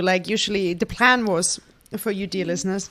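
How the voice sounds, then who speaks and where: A German accent with ordinary pitch variation at a moderate pace. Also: woman. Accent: German accent, noticeable. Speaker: podcast host. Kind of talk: casual chat. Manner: animated.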